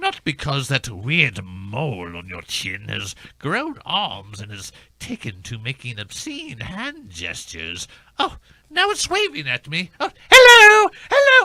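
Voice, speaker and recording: A man speaks in a put-on character voice. His loudness swings widely. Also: fairly slow pace. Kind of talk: comic period aristocrat. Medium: comedy sketch. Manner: prissy, affected.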